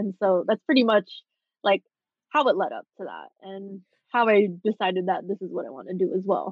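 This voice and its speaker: A woman with an American accent at a moderate pace, with vocal fry and big swings in loudness. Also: medium pitch for a woman, ordinary pitch variation. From Southern California. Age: 20s. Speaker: fashion designer. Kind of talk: casual chat.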